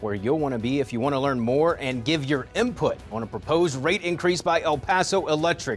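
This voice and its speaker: With music playing in the background, a man speaks at a moderate pace, his fairly high pitch carried by lively intonation. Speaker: TV news anchor. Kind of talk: TV news anchor read.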